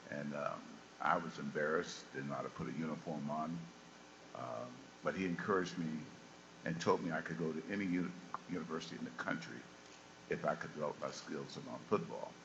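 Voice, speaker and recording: The pace is very fast, broken by long, frequent pauses, with ordinary pitch variation. Noticeable background noise is present. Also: man, very deep, low pitch for a man. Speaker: former football player. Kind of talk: panel talk to students. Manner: halting, many fillers.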